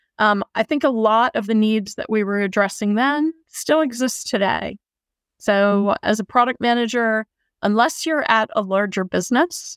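Recorded very cleanly against a silent background with dry, close sound and no echo, a woman speaks in an unremarkable speaking voice at a fairly high pitch. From United States. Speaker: product manager. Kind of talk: interview.

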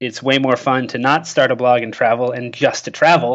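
A man with a medium pitch talks at a fairly quick pace in a normal speaking voice. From Canada, rural. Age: 30s. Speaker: travel blogger and community manager. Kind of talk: interview. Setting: remote call.

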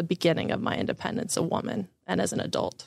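A woman speaks with noticeable vocal fry. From Florida, Orlando area. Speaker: investor relations and marketing director. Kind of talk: interview.

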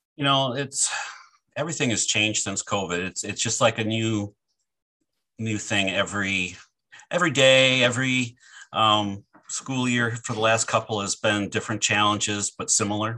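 Against a quiet background, a man with a Midwestern American accent and a bright, sharp tone speaks with long, frequent pauses. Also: medium pitch for a man, ordinary pitch variation, moderate pace. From southern Michigan, near the Ohio and Indiana border. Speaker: college food service director and chef. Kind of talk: casual interview.

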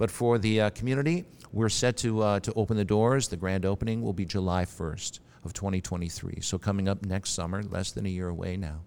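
A man talks at a fairly quick pace with an American accent. His pitch is fairly low, with ordinary variation. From US Midwest, Milwaukee, Wisconsin. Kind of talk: interview. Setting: church. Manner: hesitant, many fillers and repeats.

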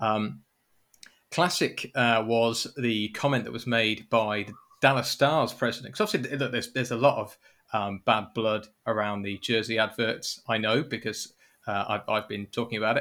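A man with a British accent has a bright, sharp tone at a medium pitch. His intonation is fairly even, on a very clean recording with a silent background. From Britain. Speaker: sports podcast host. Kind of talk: casual chat.

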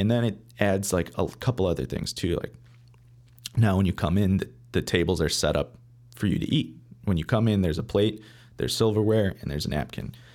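With long, frequent pauses, a man speaks in a very deep, low pitch with vocal fry and an American accent, on a very clean recording with a silent background. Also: lively intonation. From Michigan, Metro Detroit. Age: 20s. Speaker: chef. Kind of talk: casual interview.

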